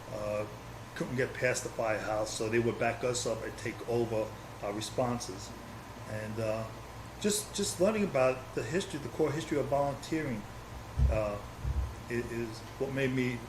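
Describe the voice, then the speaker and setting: A man with a New York accent speaks at a medium pitch with ordinary pitch variation and long, frequent pauses. Room echo is audible. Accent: New York City. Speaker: former volunteer firefighter and community historian. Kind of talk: oral history interview.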